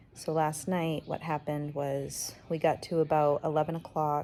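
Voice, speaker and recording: A woman's very deep, low voice, dark and mellow in tone, with monotone, flat intonation. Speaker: vlogger. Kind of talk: personal vlog. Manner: quiet, keeping voice down.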